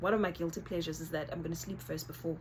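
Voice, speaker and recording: With a South African accent, a woman speaks at a very fast pace in a fairly low voice. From South Africa, Northern Cape. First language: Xhosa. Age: 30s. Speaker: YouTuber. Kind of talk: casual vlog chat. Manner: informal, code-switching.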